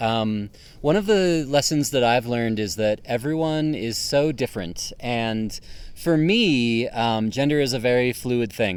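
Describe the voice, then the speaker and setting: A man of medium pitch speaks fairly slowly in an unremarkable speaking voice. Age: 30s. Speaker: associate pastor. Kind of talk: interview.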